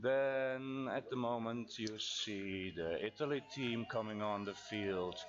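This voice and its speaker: Noticeable background noise accompanies very slow speech. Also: man. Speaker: baseball commentator. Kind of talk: live sports commentary. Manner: halting, with filler words.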